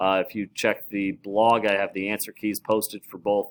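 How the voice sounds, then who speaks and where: A man with a fairly low pitch is heard in a dry, close sound with no echo. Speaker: math teacher. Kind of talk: lecture. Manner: fast; many filler words.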